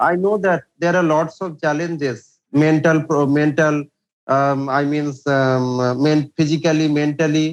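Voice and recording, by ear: At a fairly slow pace, a man with a fairly high voice speaks with fairly even intonation.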